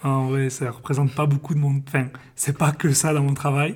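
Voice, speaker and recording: At a moderate pace, the speaker sounds somewhat breathy. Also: man. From southern France, Perpignan. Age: 20s. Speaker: football video analyst. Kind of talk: interview. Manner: halting, frequent hesitations.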